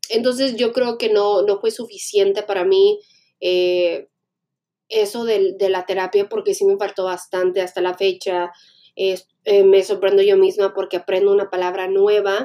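A woman's tone is dark and mellow, her intonation monotone and flat. She speaks at a fairly slow pace. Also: medium pitch for a woman. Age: 20s. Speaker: podcaster. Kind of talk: personal monologue. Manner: hesitant, many fillers.

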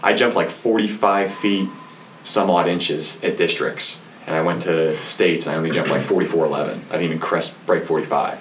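Moderate-paced speech from a man, noticeable noise behind him. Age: 20s. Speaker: gym manager and personal trainer. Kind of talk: casual chat.

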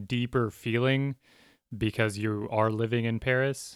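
On a very clean recording with a silent background, a man with an American accent speaks at a medium pitch with fairly even intonation. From US. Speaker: podcast co-host. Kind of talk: casual chat.

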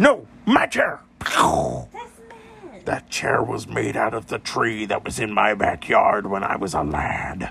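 A man in a gruff, put-on character voice at a fairly slow pace.

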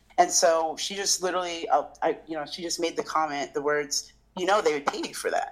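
A woman talking at a fairly quick pace against noticeable background noise. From military bases: Japan, Portugal, US states. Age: 30s. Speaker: chef and food business owner. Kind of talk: casual interview. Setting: remote call.

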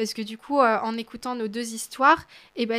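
On a very clean recording with a silent background, a woman speaks with a bright, sharp tone, fairly high pitch, and fairly even intonation. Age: 20s. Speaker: student and awareness campaigner on abusive relationships. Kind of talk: testimony.

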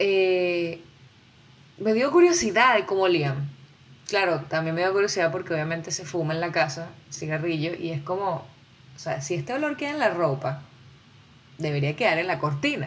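The speech comes with long, frequent pauses and audible room echo. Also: woman, fairly low pitch for a woman, ordinary pitch variation, moderate pace. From Venezuela. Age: 20s. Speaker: podcaster. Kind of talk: solo podcast monologue. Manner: animated.

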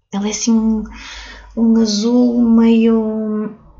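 A woman speaks over noticeable background noise. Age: 30s. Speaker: crystal therapist and author. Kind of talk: casual interview. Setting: recorded in a crystal shop.

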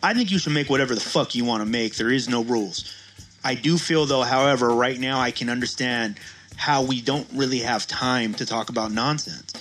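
Music plays in the background as a man with medium pitch and ordinary pitch variation talks at a fairly quick pace. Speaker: co-host. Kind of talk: casual podcast banter.

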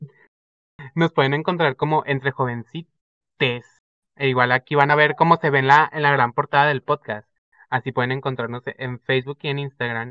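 Pitched fairly high, a man speaks at a moderate pace. His intonation is monotone and flat. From Zapopan, Guadalajara, Jalisco, Mexico. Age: 20s. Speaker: podcast co-host, marketing student. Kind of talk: casual chat.

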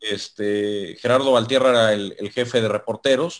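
The speaker has a Mexican accent and a moderate pace. The background is quiet. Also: man. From Mexico. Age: 30s. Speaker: sports journalist. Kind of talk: casual interview.

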